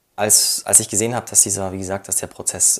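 A man talks at a fairly quick pace in a flat monotone. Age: 20s. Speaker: widower sharing personal story. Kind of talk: personal testimony interview.

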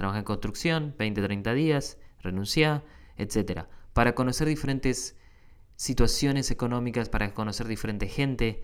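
A man with a Rioplatense accent, medium in pitch and fairly slow in pace. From Argentina. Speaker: podcast host. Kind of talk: casual monologue. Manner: halting, many fillers.

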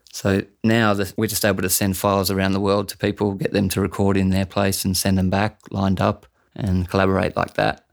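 A man with an Australian accent speaks at a fairly quick pace in a fairly low pitch, his intonation flat and monotone, on a very clean recording with a silent background. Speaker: bass player and dub artist. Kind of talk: casual interview.

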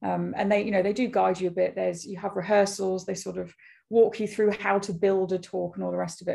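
A woman with a British accent has a dark, mellow tone, a medium pitch and fairly even intonation. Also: quiet background. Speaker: fashion business founder. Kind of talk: casual interview. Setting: podcast interview. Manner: fast talker.

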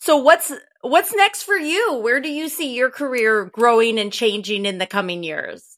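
A woman speaks at a moderate pace with a Wisconsin accent. Her high voice swings very widely in pitch. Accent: Wisconsin Midwestern American. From Wisconsin, US. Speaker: podcast host. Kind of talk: interview chat.

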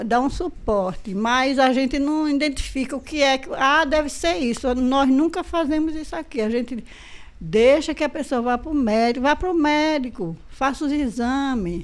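A high-pitched woman at a moderate pace. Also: lively intonation. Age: old. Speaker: community health group member. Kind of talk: interview.

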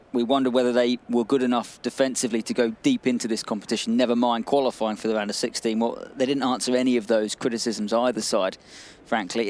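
Here is a man with a normal speaking voice. His pitch sits in the medium range. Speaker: football pundit. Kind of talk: sports analysis discussion.

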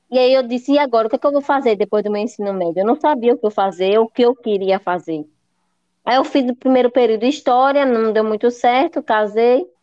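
The woman's high pitch varies in an ordinary way as she talks fairly quickly. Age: 30s. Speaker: tour guide and accessible tourism consultant. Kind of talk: interview.

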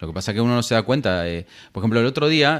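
Pitched in the middle range, a man's voice races along very fast. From Argentina. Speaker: tech podcaster. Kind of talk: casual chat.

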